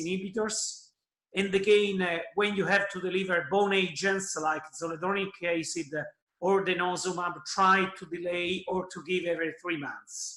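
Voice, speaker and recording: A man's raised, projected voice, high in pitch with fairly even intonation, at a moderate pace with audible room echo. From Italy. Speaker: oncologist. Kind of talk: conference presentation.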